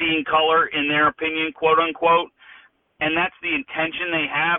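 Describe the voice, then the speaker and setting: A man with an ordinary speaking voice, fairly high pitch and moderate pace. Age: 40s. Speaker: father of four, adoptive parent. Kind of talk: interview conversation.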